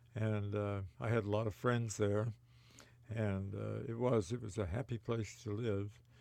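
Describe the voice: A man with an American accent speaks at a fairly slow pace in a fairly low voice with little pitch movement, vocal fry and a dark, mellow tone.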